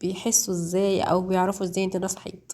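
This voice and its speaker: A woman speaks at a medium pitch in an Egyptian accent. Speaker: home cooking youtuber. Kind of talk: cooking tutorial voice-over. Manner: halting, many fillers and restarts; casual, conversational.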